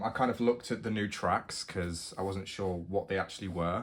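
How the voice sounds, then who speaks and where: With a British accent, a man talks at a fairly quick pace and fairly low pitch in a very clean recording with a silent background. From United Kingdom. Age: 20s. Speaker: university student. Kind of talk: casual talk to camera.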